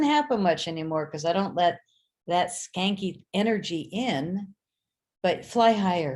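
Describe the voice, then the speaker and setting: A very clean recording with a silent background captures a woman speaking. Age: 60s. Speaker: talk show host and filmmaker. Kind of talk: casual chat. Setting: live video stream. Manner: animated.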